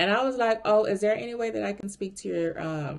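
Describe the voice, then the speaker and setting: Her tone animated, a woman talks with lively intonation. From Miami, Florida. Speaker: recruiter vlogger. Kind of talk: casual storytelling vlog.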